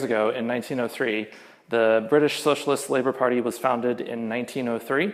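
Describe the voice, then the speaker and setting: Speech with ordinary pitch variation, heard in a room with audible echo. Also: man. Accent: American. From US. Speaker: game programmer and union organiser. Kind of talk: conference talk. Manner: casual, many filler words.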